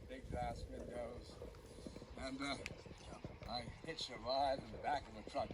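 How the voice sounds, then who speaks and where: Over noticeable background noise, a man talks at a moderate pace broken by long, frequent pauses. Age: 80s+. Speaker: World War II veteran. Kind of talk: speech to an outdoor gathering. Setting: outdoors. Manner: hesitant, halting.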